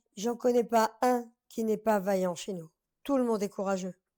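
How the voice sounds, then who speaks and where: On a very clean recording with a silent background, a woman with a fairly high pitch and a dark, mellow tone speaks at a fairly slow pace. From France, Paris area (Drancy), traveller community. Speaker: singer from a fairground family. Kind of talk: interview. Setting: live stream show. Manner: animated.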